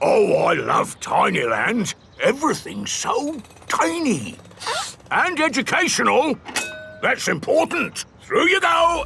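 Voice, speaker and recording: A man uses a cartoonish character voice at an extremely high pitch, speaking at a fairly slow pace. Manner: loud, blunt.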